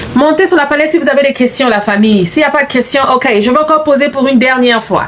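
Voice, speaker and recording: A woman's high-pitched voice at a very fast pace, with very even loudness, ordinary pitch variation and music in the background. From Central Africa, neighbouring Gabon. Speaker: business coach. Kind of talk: live stream talk to viewers. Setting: live stream. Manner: repetitive, code-switching French and English.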